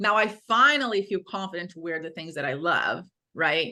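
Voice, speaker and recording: Over a quiet background, a woman with a Brazilian accent speaks at a medium pitch and a fairly slow pace in a bright, sharp tone. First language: Portuguese. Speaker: fitness coach for women. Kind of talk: podcast interview.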